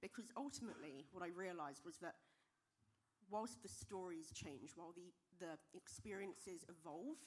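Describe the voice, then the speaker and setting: A loud woman with a British accent and a fairly low pitch speaks at a moderate pace with very wide pitch swings. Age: young. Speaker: software engineer and diversity speaker. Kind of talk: conference talk.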